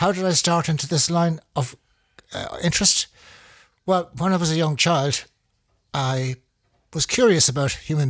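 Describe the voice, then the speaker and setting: On a very clean recording with a silent background, a man with a Dublin accent speaks at a fairly slow pace, his fairly high voice somewhat breathy and showing ordinary pitch variation. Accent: Irish (Dublin). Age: 70s. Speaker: amateur paleoanthropology enthusiast. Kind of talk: informal talk. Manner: halting.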